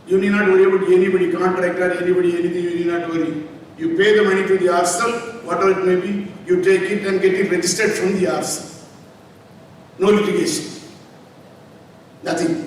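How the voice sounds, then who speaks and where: A man with a high pitch talks very fast in a monotone, flat intonation, with long, frequent pauses, audible room echo and noticeable background noise. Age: 70s. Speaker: medical college founder. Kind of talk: speech at ceremony.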